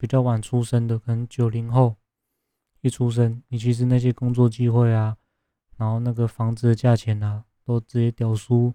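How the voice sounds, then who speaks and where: A man talks at a moderate pace in a medium pitch, with a dark, mellow tone, monotone, flat intonation, and a dry, close sound with no echo. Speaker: podcast host. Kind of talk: casual monologue reviewing a TV drama. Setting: home room with poor soundproofing.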